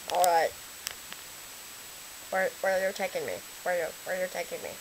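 A female-sounding cartoonish character voice talks at a moderate pace. Clear background noise is present. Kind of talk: comedic puppet sketch. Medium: puppet. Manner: excitable, indignant.

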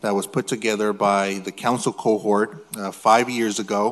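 A man with a plain, everyday voice talks at a moderate pace and a fairly low pitch. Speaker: city council member. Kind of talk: formal statement at public meeting. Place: hall. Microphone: podium.

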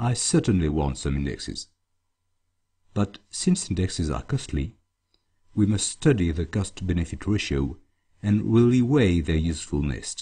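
A man with a very deep, low pitch and a dark, mellow tone speaks at a moderate pace, his voice showing vocal fry and very wide pitch swings, broken by long, frequent pauses. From France. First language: French. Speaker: database consultant. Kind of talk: tutorial.

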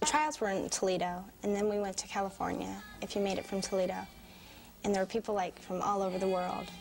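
A woman talks at a fairly quick pace. Music is clearly audible in the background. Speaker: interviewee. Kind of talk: interview answer. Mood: shy but confident. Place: classroom. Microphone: lapel.

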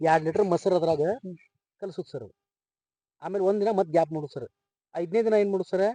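A man's high-pitched voice, dark and mellow in tone, with ordinary pitch variation and a dry, close sound with no echo. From India, Belagavi district, northern Karnataka (Savadatti taluk). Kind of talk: interview.

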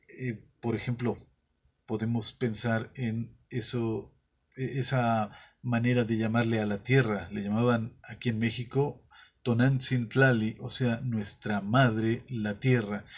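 Against a quiet background, a man speaks at a very slow pace with monotone, flat intonation. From Mexico. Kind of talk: monologue; commentary to camera. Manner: halting, with filler sounds. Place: studio.

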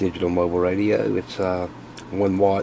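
There is noticeable background noise in this clip. Under it, a man speaks with a very deep, low pitch. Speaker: radio hobbyist video host. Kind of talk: casual tutorial, tear down demonstration. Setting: workshop, shop. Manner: casual, chatty, filler words.

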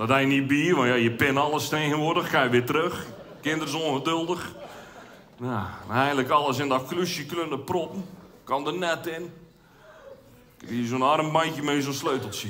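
Over light background noise, a man with a fairly high voice speaks at a moderate pace with ordinary pitch variation and long, frequent pauses. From Zeeland, Netherlands. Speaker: amateur cabaret comedian. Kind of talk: stand-up comedy routine. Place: stage. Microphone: headset.

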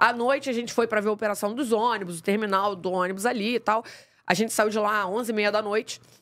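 A woman speaks very fast in a fairly high voice, with fairly even intonation. The background is quiet. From Rio de Janeiro, Praça Seca; Rio de Janeiro. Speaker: podcast host. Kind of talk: casual interview. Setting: studio. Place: studio. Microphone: studio mic.

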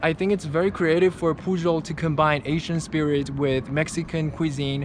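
At a moderate pace, a man speaks with fairly even intonation in a dry sound with no echo and light background noise. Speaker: travel vlogger. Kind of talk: casual vlog chat. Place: street. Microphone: phone near.

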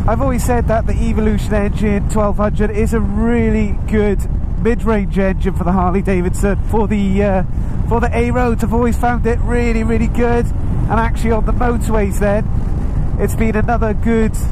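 There is noticeable background noise behind this man. He talks at a moderate pace with very even loudness. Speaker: motorcycle reviewer. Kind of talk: riding commentary vlog. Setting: outdoors, on a moving motorbike with helmet wind buffeting.

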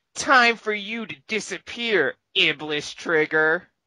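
A female-sounding voice speaks in a put-on character voice. The pitch is medium and the pace fairly slow. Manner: taunting, smug.

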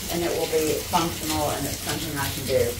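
Speech at a fairly quick pace comes through noticeable background noise. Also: woman. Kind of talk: casual vlog chat. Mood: frustrated but practical. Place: home room. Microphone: camera far.

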